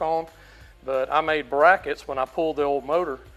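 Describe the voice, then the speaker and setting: A man talks at a moderate pace, with music in the background. His voice is fairly high and varies in pitch in an ordinary way. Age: 60s. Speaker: drag racing hobbyist. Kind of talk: casual interview.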